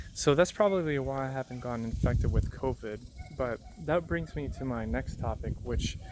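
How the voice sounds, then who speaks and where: A man's medium-pitched voice, lively in intonation and moderate in pace, is heard through noticeable background noise. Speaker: nurse practitioner vlogger. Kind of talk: casual vlog monologue. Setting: outdoors on a bike path. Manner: rambling, halting; soft-spoken.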